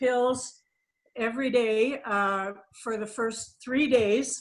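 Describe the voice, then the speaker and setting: Her intonation fairly even, a woman speaks at a very slow pace and a fairly high pitch. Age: 60s. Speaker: product user giving a testimonial. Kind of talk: testimony.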